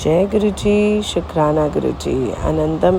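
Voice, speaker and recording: Noticeable noise can be heard in the background. Over it, a woman talks. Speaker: spiritual devotee sharing satsang. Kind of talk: devotional testimony. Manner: halting with fillers.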